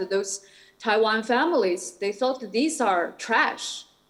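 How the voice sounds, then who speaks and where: With a Shanghai accent, a woman speaks very slowly in a fairly high voice with lively intonation. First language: Shanghainese. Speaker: artist and academic. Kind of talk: conference Q&A. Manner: halting, many fillers.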